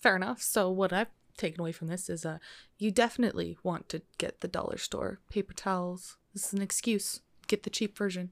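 A woman's normal speaking voice, medium in pitch, fairly quick in pace and fairly even in intonation, on a very clean recording with a silent background. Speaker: podcast host. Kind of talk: casual chat.

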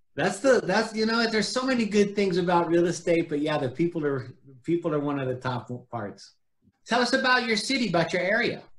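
Using an American accent, a man speaks at a high pitch with very wide pitch swings and big swings in loudness. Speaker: podcast host. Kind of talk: casual interview chat.

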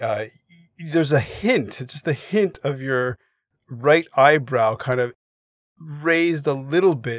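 This man has a Canadian accent and a fairly high pitch. He talks at a very slow pace, with long, frequent pauses. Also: ordinary pitch variation. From Canada, Montreal. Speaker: podcast host. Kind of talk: interview.

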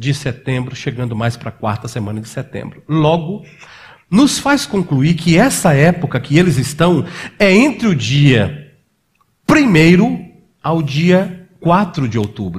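A man's fairly high, somewhat breathy voice at a very slow pace, with lively intonation. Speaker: pastor. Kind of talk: sermon.

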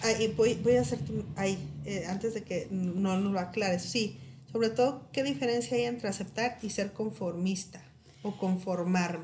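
Lively intonation from a woman at medium pitch and moderate pace, amid audible room echo and noticeable background noise. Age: 30s. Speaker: podcast host. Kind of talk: casual chat.

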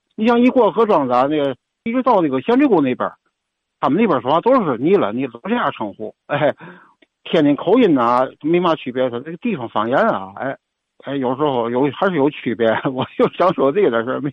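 A man speaks fairly quickly with a fairly high voice. His pitch swings very widely. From Tianjin. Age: 60s. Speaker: caller. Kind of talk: call-in chat.

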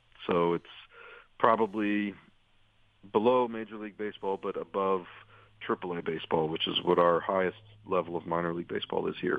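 A man with an American accent talks at a fairly quick pace and fairly low pitch, using fairly even intonation and long, frequent pauses. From United States. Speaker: sports reporter and author. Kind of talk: interview.

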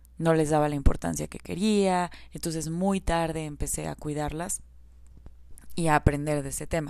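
A woman speaks at a moderate pace in a very deep, low pitch and a dark, mellow tone. Her intonation is fairly even, while her loudness swings widely. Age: 30s. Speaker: podcast host on self-discipline. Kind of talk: solo podcast monologue.

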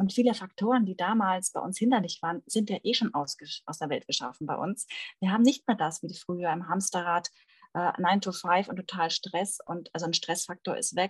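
In a dry, close recording with no echo, a woman speaks at a moderate pace. Her somewhat breathy voice has a medium pitch and ordinary pitch variation. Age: 30s. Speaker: fertility coach. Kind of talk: interview conversation.

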